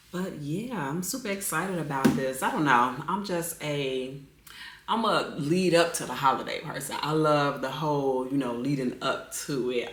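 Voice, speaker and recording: Against noticeable background noise and audible room echo, a woman with a very deep, low pitch speaks fairly slowly with ordinary pitch variation. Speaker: lifestyle vlogger. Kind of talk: casual vlog chat. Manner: conversational, filler-heavy.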